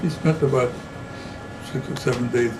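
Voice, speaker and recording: Noticeable background noise accompanies a man speaking at a medium pitch and a fairly quick pace. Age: 80s+. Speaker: grandfather. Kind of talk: interview answer.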